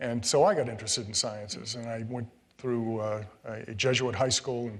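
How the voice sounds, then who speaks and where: A man with an American accent, medium-pitched, fairly quick and fairly even in intonation, with audible room echo. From Connecticut. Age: 60s. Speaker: retired state supreme court judge. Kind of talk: public interview. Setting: stage with live audience. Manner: hesitant, many fillers.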